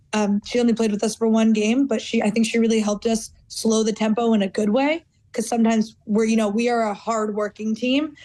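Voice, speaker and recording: A woman with an American accent talks at a fairly quick pace with hardly any pauses, her pitch fairly high and her tone dark and mellow. Her intonation is monotone and flat, and her loudness stays very even. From United States. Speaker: footballer. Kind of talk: interview.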